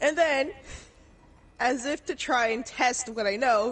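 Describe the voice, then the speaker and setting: This woman speaks in an animated tone with lively intonation. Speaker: gaming streamer. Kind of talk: casual storytelling during game stream.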